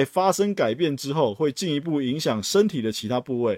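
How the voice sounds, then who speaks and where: On a very clean recording with a silent background and a dry, close sound with no echo, a man with a Taiwanese accent speaks at a fairly high pitch, his voice swinging very widely. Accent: Taiwanese Mandarin. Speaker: podcast host, retail investor. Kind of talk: solo podcast monologue. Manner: casual, frequent filler particles.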